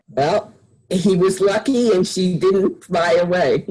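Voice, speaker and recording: A female-sounding voice performs a put-on character voice. It moves fairly slowly at medium pitch. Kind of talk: interview answer.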